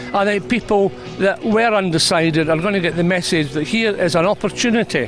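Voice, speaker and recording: A man with a Scottish accent, fairly quick pace and ordinary pitch variation, music in the background. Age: 70s. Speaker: political activist at a rally. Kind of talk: interview.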